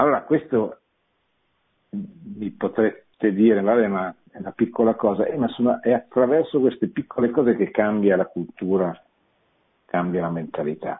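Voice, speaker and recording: At a fairly slow pace, a man of medium pitch speaks with lively intonation and long, frequent pauses. His loudness swings widely. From Italy, Milan. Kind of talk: radio lecture with call-ins. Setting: studio. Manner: halting, with frequent repetitions.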